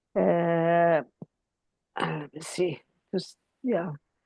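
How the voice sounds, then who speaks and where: A woman with an Iranian accent speaks with fairly even intonation. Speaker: accounting professor. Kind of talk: informal speech at virtual ceremony. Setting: video call. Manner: hesitant, many fillers.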